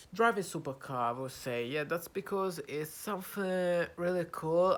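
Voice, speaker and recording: This man talks with an Italian accent. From Italy. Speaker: YouTuber practicing English. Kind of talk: casual vlog monologue. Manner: halting, many fillers.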